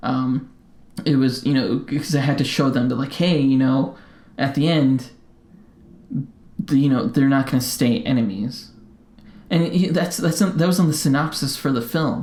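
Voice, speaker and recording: A man with an American accent mumbles in a fairly high pitch at a moderate pace, his loudness very even, his pitch variation ordinary, and his pauses long and frequent. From Colorado, US. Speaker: podcast co-host. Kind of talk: casual chat. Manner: mumbling; halting, many fillers.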